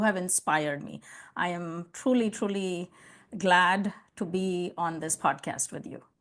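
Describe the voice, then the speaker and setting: A woman's medium-pitched voice in an Indian accent, fairly slow pace, ordinary pitch variation, quiet background. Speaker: customer success leader and consultant. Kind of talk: interview podcast conversation.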